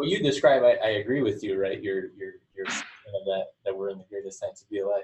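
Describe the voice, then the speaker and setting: At a fairly quick pace, a man talks with big swings in loudness. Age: 30s. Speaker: podcast host. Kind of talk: casual interview. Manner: halting.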